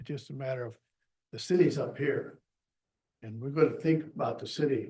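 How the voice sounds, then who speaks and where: This man's voice is fairly high in pitch, somewhat breathy, and dark and mellow in tone. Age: 80s+. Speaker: retired plumber, public commenter. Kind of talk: public comment at council meeting.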